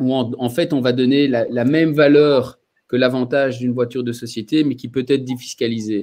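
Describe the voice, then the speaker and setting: A man with a Belgian accent and a dark, mellow tone speaks at a fairly slow pace with fairly even intonation. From Belgium. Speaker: mobility company representative. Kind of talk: webinar panel talk.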